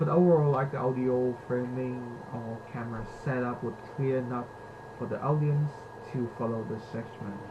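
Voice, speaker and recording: Amid noticeable background noise and audible room echo, a man with a medium pitch talks at a moderate pace with fairly even intonation. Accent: non-native. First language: not English. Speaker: university student. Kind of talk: reflective presentation. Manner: halting.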